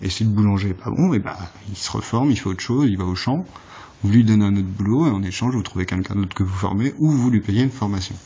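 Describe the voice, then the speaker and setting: The speaker talks at a very fast pace with ordinary pitch variation. Noticeable background noise runs underneath. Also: man, fairly low pitch for a man. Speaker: political vlogger. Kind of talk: political monologue. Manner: halting.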